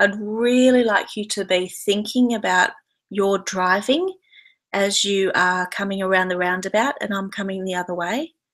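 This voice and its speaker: Speaking with an Australian accent, a woman keeps a moderate pace, a medium pitch and fairly even intonation. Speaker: yoga and decluttering teacher. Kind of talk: webinar talk. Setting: online video broadcast from home.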